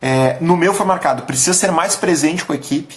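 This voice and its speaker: The delivery comes at a fairly quick pace with an animated tone. It sounds somewhat breathy. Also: man. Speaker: business coach / company leader. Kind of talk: live stream talk. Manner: casual, animated.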